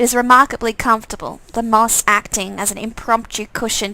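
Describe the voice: This woman has a fairly high pitch and a fairly bright tone. She speaks at a fairly slow pace.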